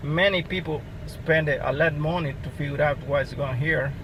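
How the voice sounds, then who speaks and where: Over noticeable background noise, a man with a non-native accent speaks at a fairly slow pace and a fairly high pitch. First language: not English. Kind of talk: casual car repair talk to camera.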